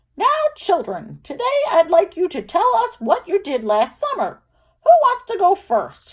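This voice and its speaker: This is a squeaky, put-on character voice. Its pitch swings very widely. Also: woman, extremely high pitch for a woman, moderate pace. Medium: read story. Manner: gentle, patient.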